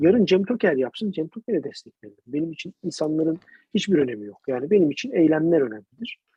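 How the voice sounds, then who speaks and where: Talking at a very fast pace, a man uses high pitch with very wide pitch swings. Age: 30s. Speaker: podcast co-host. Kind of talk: casual political chat.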